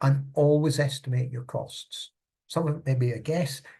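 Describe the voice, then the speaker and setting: A man with a Scottish accent speaks in a dark, mellow, somewhat breathy voice. His pace is moderate and his intonation fairly even. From Scotland. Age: old. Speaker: charity consultant. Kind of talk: tutorial. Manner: conversational.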